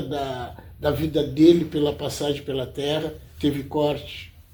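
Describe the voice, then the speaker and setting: Amid audible room echo, a man with a fairly high pitch speaks at a fairly slow pace in a monotone, flat intonation. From southern Brazil, Rio Grande (RS). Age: 60s. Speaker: self-taught artist. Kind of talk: interview. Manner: halting, with many repetitions.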